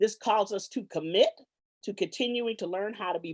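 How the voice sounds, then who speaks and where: At a moderate pace and medium pitch, a woman speaks with a slight Southern US accent. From Los Angeles, California. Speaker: professor. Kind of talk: formal introduction. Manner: hesitant, frequent fillers.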